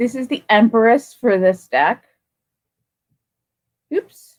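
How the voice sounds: Speaking slowly, a woman uses a fairly high pitch and lively intonation.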